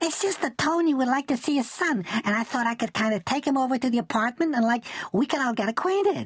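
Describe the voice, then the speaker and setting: A man uses a put-on, squeaky character voice at an extremely high pitch, with lively intonation. He talks at a very fast pace with hardly any pauses and very even loudness, in dry, close sound with no echo. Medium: read story. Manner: sugary, gushing.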